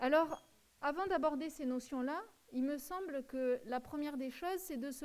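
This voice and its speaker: At a fairly slow pace, a woman speaks with a high pitch and ordinary pitch variation. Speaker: lecturer. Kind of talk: lecture. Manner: halting.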